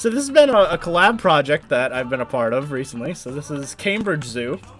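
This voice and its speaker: Over background music, a man with a fairly high pitch speaks at a fairly quick pace, with lively intonation and big swings in loudness. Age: 20s. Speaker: gaming streamer. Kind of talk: casual chat. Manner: halting.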